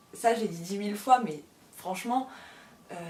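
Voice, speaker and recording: Noticeable background noise runs under a woman's voice. She sits at a medium pitch with ordinary pitch variation. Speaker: published author and book YouTuber. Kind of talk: casual chat to camera. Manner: fast; rambling, hesitant with many fillers.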